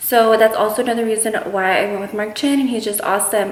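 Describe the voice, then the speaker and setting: A very fast-talking woman of medium pitch with an American accent, amid audible room echo and noticeable background noise. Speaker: beauty vlogger. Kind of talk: casual vlog Q&A.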